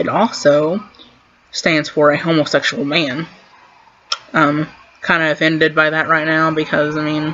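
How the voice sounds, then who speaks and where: Against noticeable background noise, a woman with a very deep, low pitch speaks at a moderate pace in a monotone, flat intonation, leaving long, frequent pauses. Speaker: queer vlogger. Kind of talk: casual vlog monologue. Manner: stuttering.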